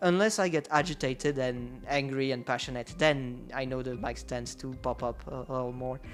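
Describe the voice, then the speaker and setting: A man with a French accent talks at a moderate pace and medium pitch, with hardly any pauses. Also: ordinary pitch variation. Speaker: streamer. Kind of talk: casual chat. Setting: live stream. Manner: halting.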